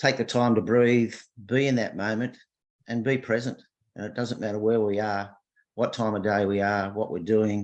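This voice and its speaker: A man speaks with a fairly low pitch and fairly even intonation. The background is quiet. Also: moderate pace. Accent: Australian. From Australia. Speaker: workshop participant. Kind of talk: casual reflection on a video call. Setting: video call.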